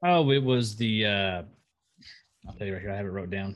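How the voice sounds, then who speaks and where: This is a man speaking at a fairly low pitch. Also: very clean recording, silent background. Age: 30s. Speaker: podcast co-host and streamer. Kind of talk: casual chat. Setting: video recording.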